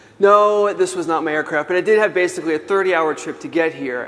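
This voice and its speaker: Noticeable background noise sits behind a man with an American accent. His pitch is high, his pitch variation ordinary, and his pace fairly quick. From New York City. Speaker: author and keynote speaker. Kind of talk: keynote talk. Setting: conference stage with audience. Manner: fast.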